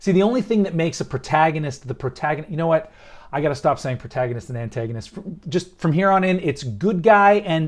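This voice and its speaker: A man speaks in an animated tone with lively intonation. The background is quiet. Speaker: screenwriter and filmmaker. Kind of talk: tutorial. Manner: fast.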